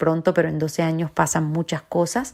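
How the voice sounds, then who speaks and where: A woman with a Venezuelan accent at a fairly low pitch, in a very clean recording with a silent background. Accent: Venezuelan Spanish, noticeable. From Venezuela, Caracas. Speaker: journalist, academy director, university lecturer. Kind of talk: interview.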